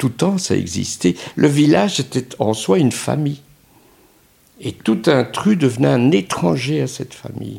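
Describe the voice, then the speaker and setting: A man's dark, mellow voice with vocal fry at a medium pitch, very wide pitch swings, big swings in loudness, a fairly slow pace and long, frequent pauses. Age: 70s. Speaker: second-home owner. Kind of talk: interview.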